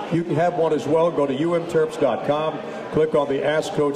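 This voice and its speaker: A man speaks at a fairly high pitch for a man, with noticeable background noise behind him. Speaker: radio play-by-play host; radio show host. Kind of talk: radio sports talk. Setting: live at a restaurant with audience. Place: bar. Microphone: headset.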